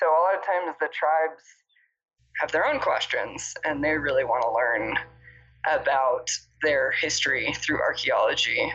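A woman speaks at a moderate pace with an American accent. She leaves long, frequent pauses. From Arizona, US Southwest. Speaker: cultural anthropologist. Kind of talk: casual interview.

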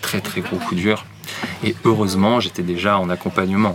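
There is noticeable background noise as a man with a fairly low voice talks at a moderate pace. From France, Nancy (Lorraine). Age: 30s. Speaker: therapist and enneagram coach. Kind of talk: casual interview. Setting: café.

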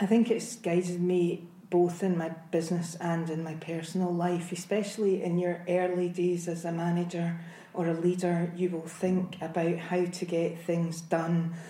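A woman's fairly low voice at a moderate pace, monotone and flat, with audible room echo. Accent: Scottish. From Scotland, Glasgow. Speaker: IT sales executive. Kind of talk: interview. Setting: hotel.

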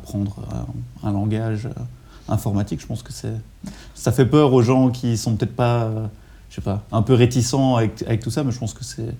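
In a dark, mellow tone, a man speaks fairly quickly with a somewhat breathy, fairly low voice and fairly even intonation. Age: 30s. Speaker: podcast host. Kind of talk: interview. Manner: halting, many repetitions.

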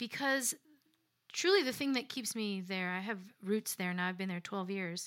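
Speaking at a moderate pace, a woman has an ordinary speaking voice with an American accent, medium pitch and ordinary pitch variation. The recording is very clean, with a silent background. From US Midwest, Chicago south suburbs. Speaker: singer-songwriter. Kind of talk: radio interview. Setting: live radio performance with audience.

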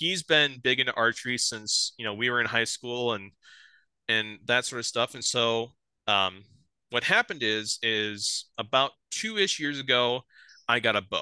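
In an Upper Midwest accent, a man speaks with a bright, sharp tone, the sound dry and close with no echo against a quiet background. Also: medium pitch for a man, ordinary pitch variation. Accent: Upper Midwest American. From South Dakota, near Sioux Falls. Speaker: bowhunter. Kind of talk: casual chat.

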